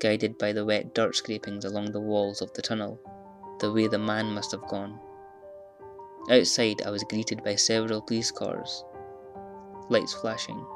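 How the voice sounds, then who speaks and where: With music in the background, a man of fairly low pitch talks at a moderate pace, using ordinary pitch variation and long, frequent pauses. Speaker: horror story narrator. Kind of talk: horror story narration.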